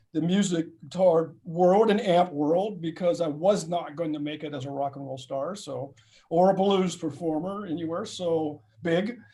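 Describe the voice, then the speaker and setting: This man speaks at a moderate pace with a high pitch and a dark, mellow tone, his intonation fairly even while his loudness swings widely. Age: 60s. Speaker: guitar company founder and guitarist. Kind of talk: casual interview chat.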